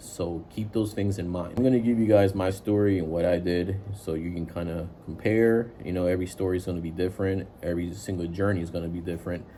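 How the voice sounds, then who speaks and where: A man talks at a very fast pace with hardly any pauses. His very deep, low voice has a dark, mellow tone and fairly even intonation. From immigrant to the US at age seven from a developing country. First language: not English. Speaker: IT worker giving career advice. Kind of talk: casual advice monologue. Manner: casual, many filler words.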